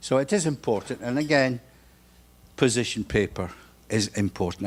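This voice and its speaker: A man speaks at a medium pitch. The recording is very clean, with a silent background. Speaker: conference session facilitator. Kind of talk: conference summary presentation. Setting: working dinner meeting. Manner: fast.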